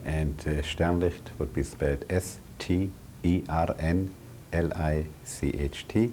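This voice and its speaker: A man speaks with a dark, mellow tone and vocal fry. His pitch is very deep and low, with ordinary variation. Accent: German. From Germany, Berlin. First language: German. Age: 70s. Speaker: Holocaust survivor. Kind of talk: oral history interview.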